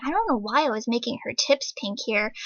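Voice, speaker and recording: Her voice fairly high, a woman speaks at a fairly quick pace. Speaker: artist and video uploader. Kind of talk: casual talk over speedpaint. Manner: hesitant, filler-heavy, spacey.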